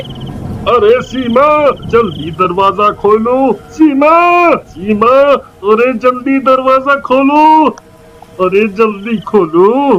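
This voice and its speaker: Using a put-on character voice, a man speaks at an extremely high pitch and a very slow pace with lively intonation. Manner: panicked, stammering.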